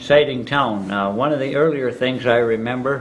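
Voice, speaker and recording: With an Upper Midwest accent, a man speaks at a medium pitch with ordinary pitch variation. Noticeable background noise and audible room echo surround him. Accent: Upper Midwest American. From northern Michigan (Charlevoix). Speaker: local elder recounting town history. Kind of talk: oral history interview. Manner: halting, many filler words.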